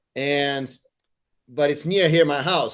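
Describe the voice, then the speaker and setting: Moderately paced speech from a man with a fairly high voice. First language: not English. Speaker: tech community host. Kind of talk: casual chat. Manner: halting.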